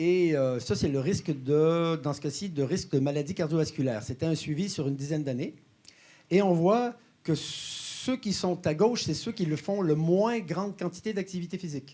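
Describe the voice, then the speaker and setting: A man with a slight Quebec accent, high in pitch, dark and mellow in tone, with lively intonation at a moderate pace. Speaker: health company co-founder and exercise scientist. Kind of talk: conference presentation. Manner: hesitant, many filler sounds.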